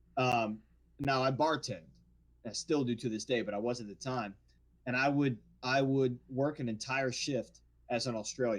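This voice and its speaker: Pausing long and often, a man with a medium pitch and a New Orleans accent speaks at a moderate pace with fairly even intonation. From New Orleans area, Louisiana. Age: 40s. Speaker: actor. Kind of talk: casual chat.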